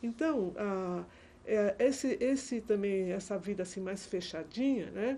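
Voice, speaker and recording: A woman speaks with a dark, mellow tone. Her intonation is lively. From Brazil, Santos (São Paulo). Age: 70s. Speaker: retired teacher, historian of education. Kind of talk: oral history interview. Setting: recorded interview in an office. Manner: halting, many self-corrections.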